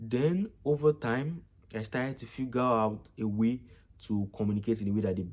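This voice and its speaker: A man with a Nigerian accent, medium pitch, ordinary pitch variation and a moderate pace. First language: Yoruba. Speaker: vlogger, international student. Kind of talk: casual vlog reflection.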